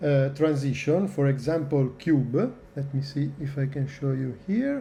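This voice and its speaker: Somewhat breathy, this man talks in an Italian accent with a fairly high pitch and a dark, mellow tone. He goes at a fairly slow pace, and the room echo is audible. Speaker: video editing tutorial maker. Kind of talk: tutorial. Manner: hesitant, many filler sounds.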